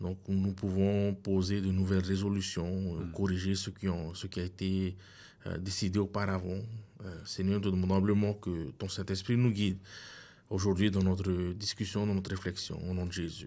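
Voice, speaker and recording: A man's very deep, low voice at a fairly slow pace, with monotone, flat intonation. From French Polynesia. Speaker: pastor. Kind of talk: Bible study discussion. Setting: studio. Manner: halting. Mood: calm, reflective. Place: studio. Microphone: studio mic.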